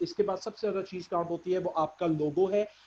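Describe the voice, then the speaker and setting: The man's pitch is high and his intonation fairly even. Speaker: course instructor. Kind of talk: lecture. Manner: halting.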